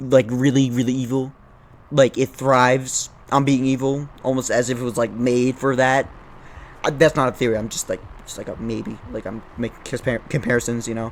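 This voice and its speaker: A man talks at a moderate pace and a medium pitch. His intonation is monotone and flat, yet his loudness swings widely. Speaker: YouTube video essayist. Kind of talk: casual commentary. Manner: stuttering; halting.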